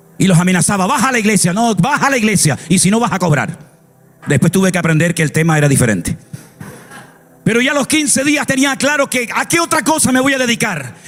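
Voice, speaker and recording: A man speaks very fast in an animated tone, his high pitch swinging very widely at very even loudness. Music plays in the background. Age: 60s. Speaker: pastor. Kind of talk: sermon.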